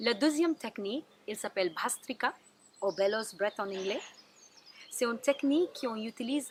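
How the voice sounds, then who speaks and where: This woman has a strong non-native accent and a high pitch. Her intonation is lively. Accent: strong foreign. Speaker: Ayurveda therapist. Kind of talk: wellness tips talk to camera.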